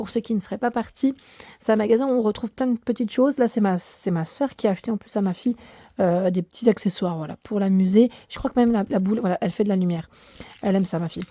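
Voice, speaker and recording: Talking at a very fast pace, a woman with a fairly high pitch and ordinary pitch variation has a dark, mellow tone in a dry, close sound with no echo. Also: very clean recording, silent background. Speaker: YouTuber. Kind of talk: shopping haul video. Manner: hesitant, many fillers.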